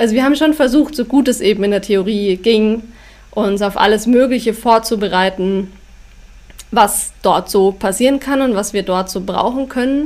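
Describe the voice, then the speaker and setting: The woman speaks at a moderate pace with ordinary pitch variation. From Bavaria, Upper Bavaria (Schongau near Allgäu). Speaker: author and travel blogger. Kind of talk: casual interview.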